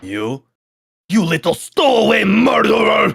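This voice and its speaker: In a raspy, put-on character voice, the speaker goes at a fairly slow pace. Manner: accusatory, dramatic.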